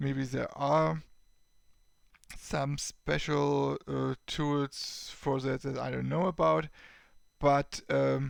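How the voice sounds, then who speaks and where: A man with a German accent speaks at a very slow pace. He leaves long, frequent pauses. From Germany. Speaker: tech YouTuber. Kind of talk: tutorial. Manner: halting.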